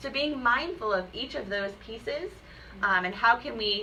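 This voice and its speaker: Amid audible room echo, a woman talks at a fairly high pitch. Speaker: teacher trainer. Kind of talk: training presentation. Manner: fast.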